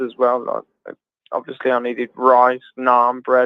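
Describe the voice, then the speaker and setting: Speaking at a moderate pace, a man with a slight Birmingham accent uses a medium pitch. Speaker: travel vlogger and livestream host. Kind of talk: casual chat. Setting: video livestream chat.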